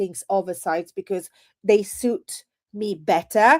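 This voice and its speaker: A woman with an Italian accent speaks at a fairly slow pace, in an animated tone with lively intonation, and the sound is dry and close with no echo. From Italy. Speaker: edtech presenter. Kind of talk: webinar product demo.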